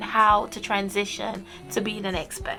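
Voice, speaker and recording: Music can be heard in the background. The speech moves at a moderate pace. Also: woman. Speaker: vlogger, expat in Japan. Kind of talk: casual vlog talk.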